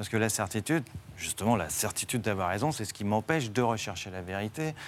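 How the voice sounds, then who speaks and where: This man talks at a moderate pace with a fairly low pitch and ordinary pitch variation. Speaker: philosophy teacher. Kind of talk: TV debate.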